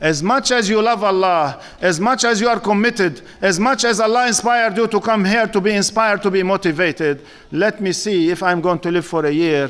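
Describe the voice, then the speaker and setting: A man speaks at a moderate pace in a high pitch. His intonation is lively. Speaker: Islamic lecturer. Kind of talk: sermon. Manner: loud; animated.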